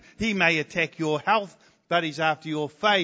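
A man speaks in a New Zealand accent with ordinary pitch variation. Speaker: visiting preacher. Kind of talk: sermon. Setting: church.

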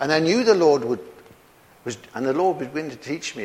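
A man with a British accent. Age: 70s. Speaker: preacher. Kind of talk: sermon.

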